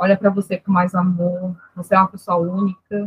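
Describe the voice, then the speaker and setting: A woman at a moderate pace, her voice somewhat breathy. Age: 30s. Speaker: nurse technician. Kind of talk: interview.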